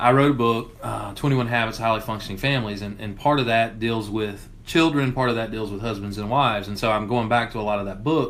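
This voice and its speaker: Over noticeable background noise and audible room echo, a man speaks very fast with hardly any pauses, using a medium pitch and fairly even intonation. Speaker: church minister and podcast co-host. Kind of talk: casual discussion. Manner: loud, can sound like yelling.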